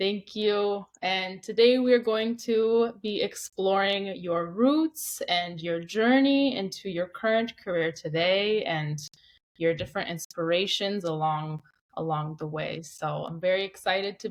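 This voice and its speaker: A woman speaks at a medium pitch and a fairly slow pace, with ordinary pitch variation. Hers is a plain, everyday voice. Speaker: podcast host. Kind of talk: interview questions.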